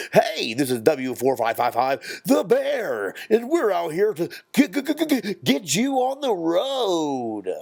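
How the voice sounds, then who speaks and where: Very wide pitch swings mark this put-on character voice, delivered at a very slow pace. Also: man, high pitch for a man. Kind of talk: announcer, radio-style.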